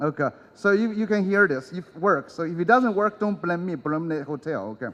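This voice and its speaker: A man with a non-native accent, high-pitched, at a fairly quick pace with lively intonation. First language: not English. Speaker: conference speaker. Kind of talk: conference talk. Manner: hesitant, many fillers.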